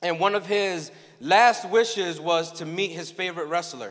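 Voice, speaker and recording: A man talks at a moderate pace. The background is quiet. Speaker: conference keynote speaker. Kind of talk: sermon. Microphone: handheld.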